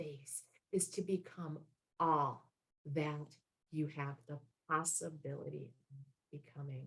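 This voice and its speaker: A woman with a very deep, low pitch speaks at a very slow pace in a somewhat breathy, dark, mellow tone. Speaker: motivational speaker and business coach. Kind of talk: motivational talk.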